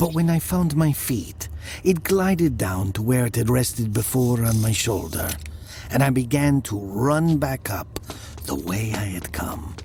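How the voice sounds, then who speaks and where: Music plays in the background as a man talks at a fairly slow pace. His medium pitch swings very widely. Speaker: narrator. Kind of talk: audio drama narration.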